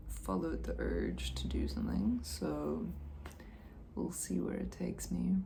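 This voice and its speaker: Soft-spoken, a woman talks at a very slow pace with ordinary pitch variation amid audible room echo and noticeable background noise. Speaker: video blogger. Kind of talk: casual reflective monologue. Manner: hesitant, many fillers.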